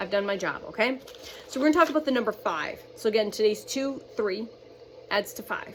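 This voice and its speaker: Noticeable background noise under a woman's fairly quick speech. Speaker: spiritual channeler. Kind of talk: channeled spiritual message monologue. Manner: fast; halting, stumbling over words.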